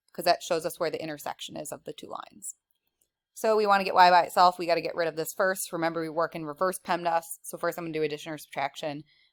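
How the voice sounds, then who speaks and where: On a very clean recording with a silent background and a dry, close sound with no echo, a woman speaks very fast at a fairly low pitch, her intonation monotone and flat but her loudness swinging widely. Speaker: math teacher. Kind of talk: tutorial.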